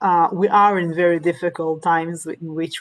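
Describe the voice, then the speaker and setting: A woman with a non-native accent, fairly low in pitch, at a fairly slow pace, with monotone, flat intonation. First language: Hebrew and Russian. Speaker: Torah teacher. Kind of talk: lecture. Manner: halting, many fillers.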